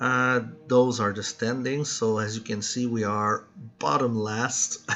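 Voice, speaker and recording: Music plays behind a man who speaks in a Quebec accent at a fairly slow pace. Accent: French Canadian accent in English. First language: French. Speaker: gaming YouTuber. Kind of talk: gameplay commentary. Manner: halting, frequent fillers and restarts.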